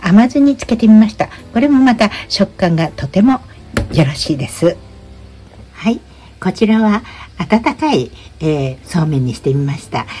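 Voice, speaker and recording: Against faint background music, a woman with a medium pitch speaks at a moderate pace, with very wide pitch swings and long, frequent pauses. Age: 80s+. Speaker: YouTuber. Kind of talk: tutorial. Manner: casual. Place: kitchen. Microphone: phone near.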